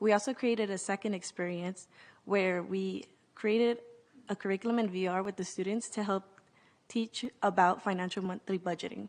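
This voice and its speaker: The speaker talks at a moderate pace in a Californian accent. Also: woman, medium pitch for a woman, fairly even intonation. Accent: Californian American English. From US West Coast, South Central Los Angeles. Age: 20s. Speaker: nonprofit youth leader. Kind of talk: conference presentation.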